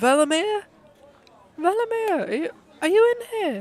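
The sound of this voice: At a moderate pace, someone soft-spoken uses a put-on character voice at an extremely high pitch.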